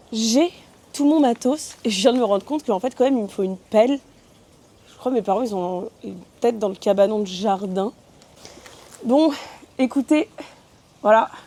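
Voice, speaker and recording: A woman speaks at a fairly high pitch and a moderate pace, with ordinary pitch variation and long, frequent pauses. Her loudness swings widely, and there is noticeable background noise. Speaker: vlogger. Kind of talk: casual vlog talk. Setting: outdoors in a garden.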